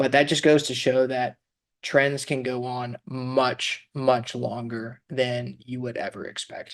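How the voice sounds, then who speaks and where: A man at a medium pitch, very slow and monotone with flat intonation, with big swings in loudness. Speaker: finance podcast host. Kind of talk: casual chat. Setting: studio, co-host across the table.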